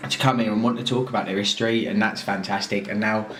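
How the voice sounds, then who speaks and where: A man speaks at a fairly quick pace in a southern English accent. Music plays in the background, and room echo is audible. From southern England. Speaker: arts organizer. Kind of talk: documentary interview. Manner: animated.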